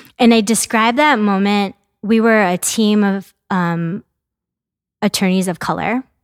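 A woman with an ordinary speaking voice talks at a fairly slow pace, medium in pitch with ordinary pitch variation. The recording is very clean with a silent background and a dry, close sound with no echo. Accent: American. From US Midwest, mid-Michigan. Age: 40s. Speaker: immigrant rights advocate and attorney. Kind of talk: interview conversation.

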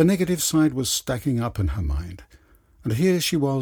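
Someone is reading aloud in a natural voice. The delivery is plain.

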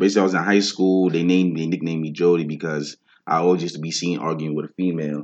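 In a New York accent, the speaker talks at a very fast pace with monotone, flat intonation. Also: man. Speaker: rapper. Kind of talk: casual interview chat.

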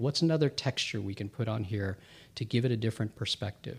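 In an American accent, a man talks at a medium pitch. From US, Filipino family. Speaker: producer and tech lead. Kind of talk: casual interview chat. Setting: studio. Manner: calm, eloquent.

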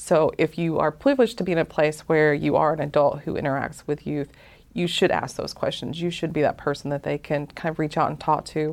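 With vocal fry and a very deep, low pitch, a woman talks at a fairly quick pace in fairly even intonation over a quiet background. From US South, north Georgia Appalachians. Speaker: mental health advocate. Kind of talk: interview.

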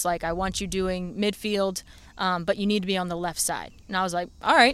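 A woman talks at a fairly quick pace with an American accent. She has an unremarkable speaking voice with fairly even intonation. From Maryland, Anne Arundel County. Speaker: dog trainer, former teacher. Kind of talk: casual interview chat. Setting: podcast studio.

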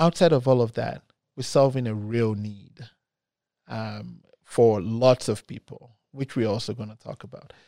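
In a dry, close recording with no echo, a man speaks at a fairly slow pace and medium pitch, with a dark, mellow tone, ordinary pitch variation, and big swings in loudness. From Nigeria. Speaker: renewable energy company CEO. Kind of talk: interview. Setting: studio.

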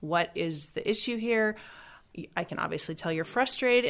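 A woman's ordinary speaking voice with lively intonation at a fairly quick pace, in a very clean recording with a silent background. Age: 40s. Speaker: homeschooling mother, trained nurse. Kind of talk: interview.

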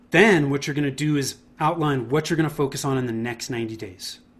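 A somewhat breathy voice with an American accent, ordinary pitch variation and a fairly quick pace. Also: man. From Northern California, Bay Area. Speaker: marketing consultant. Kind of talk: interview.

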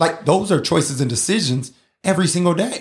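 The voice sounds somewhat breathy and carries an animated tone. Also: man. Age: 40s. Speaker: podcast host and emcee. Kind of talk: motivational casual talk.

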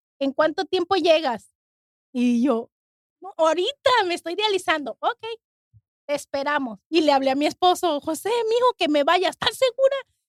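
In a dry, close recording with no echo, a woman talks at a moderate pace, her extremely high voice swinging very widely in pitch. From Mexico. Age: 40s. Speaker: kidney transplant recipient. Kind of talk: testimony.

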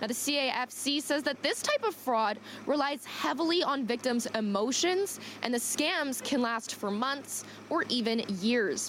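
Against noticeable background noise, a woman speaks fairly slowly in a high voice with lively intonation and very even loudness. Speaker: field news reporter. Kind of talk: news reporting. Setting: on location, live remote.

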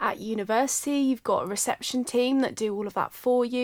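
In a very clean recording with a silent background and a dry, close sound with no echo, a woman with a southern English accent talks at a fairly quick pace and fairly high pitch. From Surrey, England. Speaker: osteopath and podcast host. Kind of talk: casual chat. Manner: animated.

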